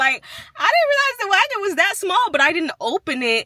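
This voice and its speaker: Her voice raised and projected, a woman speaks at a moderate pace with very wide pitch swings. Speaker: crochet vlogger and market vendor. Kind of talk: casual vlog.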